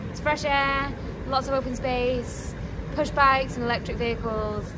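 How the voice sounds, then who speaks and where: A woman's voice comes at a moderate pace while noticeable noise sits behind it. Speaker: travel vlogger. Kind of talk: casual vlog chat. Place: boat. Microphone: phone near.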